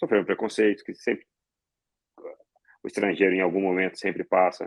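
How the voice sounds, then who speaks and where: A man is speaking. He keeps a moderate pace. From Brazil, arrived from Lebanon at age five. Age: 30s. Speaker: law professor and lawyer. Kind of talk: podcast interview. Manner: hesitant, with many fillers and repetitions.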